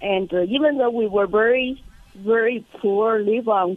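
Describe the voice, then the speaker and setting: A woman with a Chinese accent speaks at a fairly slow pace in a fairly high voice with ordinary pitch variation. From China. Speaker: congressional candidate. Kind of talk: radio interview.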